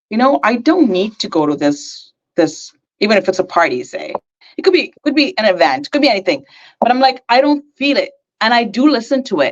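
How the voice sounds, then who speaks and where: Her pitch swings very widely as the woman talks at a fairly quick pace. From India. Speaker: guest. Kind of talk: casual chat. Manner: loud laugh.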